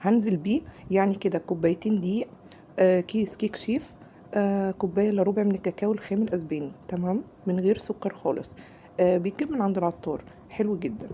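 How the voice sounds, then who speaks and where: A woman speaks at a moderate pace in a medium pitch, somewhat breathy, with a dark, mellow tone and ordinary pitch variation. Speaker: cooking channel host. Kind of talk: cooking tutorial. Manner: casual, chatty.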